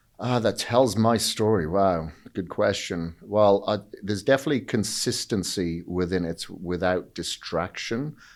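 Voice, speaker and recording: In a very clean recording with a silent background, a man speaks with a Welsh accent. His pitch is fairly low, his pace fairly slow, and his pitch variation ordinary. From Wales. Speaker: fitness entrepreneur and bodybuilder. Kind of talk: podcast interview.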